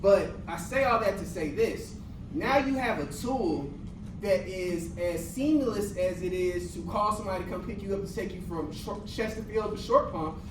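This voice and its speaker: The speech moves at a moderate pace with ordinary pitch variation. Audible room echo and noticeable background noise run through the clip. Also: man, high pitch for a man. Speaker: AI workshop presenter, business founder. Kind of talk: workshop presentation to teens. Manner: casual, many fillers.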